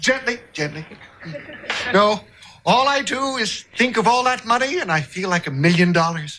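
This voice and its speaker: A man speaks in a raised, projected voice with very wide pitch swings over light background noise. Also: moderate pace. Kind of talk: comedic acted dialogue. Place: studio.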